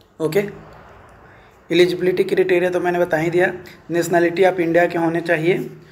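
At a fairly quick pace, a man talks in a high pitch with little pitch movement. Audible room echo is present.

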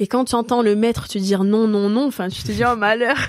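A plain, everyday voice moves at a fairly quick pace with fairly even intonation on a very clean recording with a silent background. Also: woman. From Corsica (Ajaccio). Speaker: karate athlete. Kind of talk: interview.

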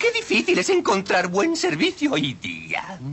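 A cartoonish character voice with a fairly high pitch delivers lines in a theatrical, menacing tone. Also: fairly slow pace. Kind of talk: cartoon villain voice acting. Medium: fan dub. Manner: mocking, theatrical, menacing.

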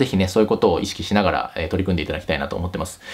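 The man speaks with a very deep, low pitch. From Japan. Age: 30s. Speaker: YouTube career advice host; career advice channel host. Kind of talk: casual vlog talk to camera; casual vlog chat. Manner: casual, with many fillers. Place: home room.

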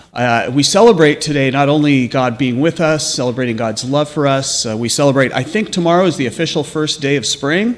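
Amid light background noise, a man talks at a fairly quick pace. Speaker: pastor leading worship. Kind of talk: church announcements and welcome. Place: church. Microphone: podium.

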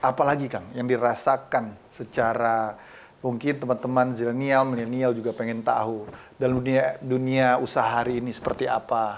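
Light background noise is present. Through it, a man talks at a moderate pace. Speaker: TV show host. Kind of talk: interview host. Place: studio.

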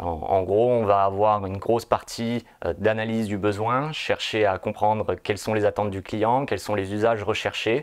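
Against a quiet background, a man speaks at a moderate pace with fairly even intonation and a fairly low pitch. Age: 30s. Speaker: pre-sales engineer. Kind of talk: corporate recruitment testimonial. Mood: calm, positive. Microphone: lapel.

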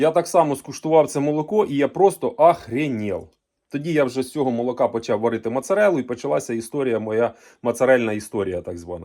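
Against a silent background in a very clean recording, a man at medium pitch speaks very fast with lively intonation. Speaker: farmer and livestock video blogger. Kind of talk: casual vlog monologue. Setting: on his farm. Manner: hesitant, filler-heavy.

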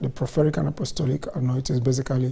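A man speaks at a fairly quick pace in a dark, mellow tone. His voice is somewhat breathy. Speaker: church minister presenting. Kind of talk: sermon-style introduction. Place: studio.

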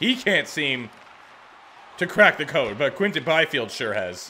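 Over light background noise, a man speaks fairly slowly in an animated tone with very wide pitch swings. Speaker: gaming video creator. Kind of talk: video game commentary. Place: home room. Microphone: studio mic.

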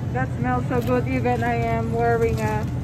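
A woman's voice over clear background music. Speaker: shopper vlogger. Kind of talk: casual vlog chat. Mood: cheerful, delighted. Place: shop. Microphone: phone near.

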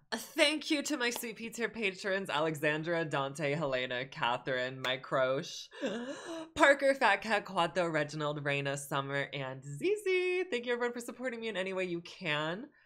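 Over a quiet background, a man speaks at a moderate pace in a raised, projected voice, with very wide pitch swings and hardly any pauses. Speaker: reaction video creator. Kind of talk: casual vlog chat. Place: home room. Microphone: earbuds.

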